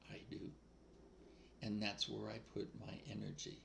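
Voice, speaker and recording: A man with an American accent speaks with audible room echo. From New England, US. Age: 80s+. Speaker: spiritual speaker. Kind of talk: casual spiritual monologue. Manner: informal, off the cuff.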